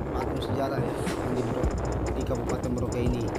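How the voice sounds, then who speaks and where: A man speaks with music in the background. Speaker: travel vlogger. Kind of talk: casual vlog chat. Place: car. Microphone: phone near.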